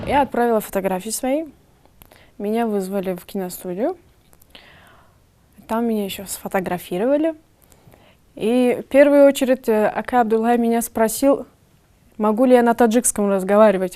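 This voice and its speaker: A woman speaks at a moderate pace in a fairly high pitch and a dark, mellow tone, with ordinary pitch variation and big swings in loudness. Long, frequent pauses break up her speech, and the recording is very clean with a silent background. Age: young. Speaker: actress. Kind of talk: interview.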